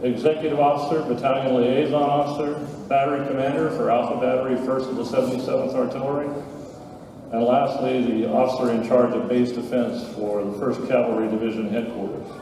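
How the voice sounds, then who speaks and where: A man with a medium-pitched voice talks at a fairly quick pace, his intonation fairly even. Room echo is audible, and background noise is noticeable. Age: 70s. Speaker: war veteran. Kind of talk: speech to an audience. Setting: school event with audience. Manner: formal.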